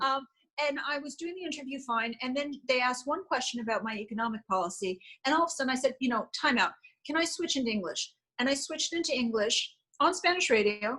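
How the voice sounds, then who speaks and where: A woman with an American accent talks very fast in a raised, projected voice, her tone bright and sharp and her pitch high. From Connecticut and New York City. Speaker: congressional candidate. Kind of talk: interview.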